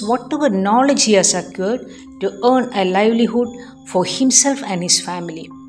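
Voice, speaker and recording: With music in the background, a woman speaks at a moderate pace. Her fairly high pitch has ordinary pitch variation. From Cochin, Kerala, India. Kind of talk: spiritual storytelling narration.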